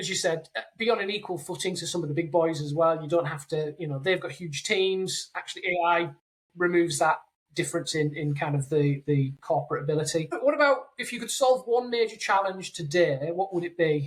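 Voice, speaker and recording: Speaking with a British accent, a woman with a fairly low pitch talks at a fairly quick pace with lively intonation. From UK. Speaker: podcast host, AI consultancy founder. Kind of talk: interview podcast.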